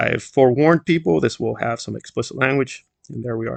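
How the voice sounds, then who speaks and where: A man with a Spanish accent, medium pitch and ordinary pitch variation, in a dry, close sound with no echo. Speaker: YouTube commentator. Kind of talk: online commentary monologue.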